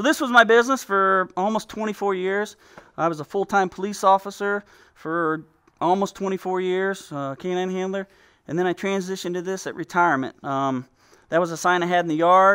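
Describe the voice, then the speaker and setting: A man speaks in a raised, projected voice at a fairly quick pace, his tone bright and sharp. His pitch varies in an ordinary way over a quiet background. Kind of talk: casual home tour commentary. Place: garage.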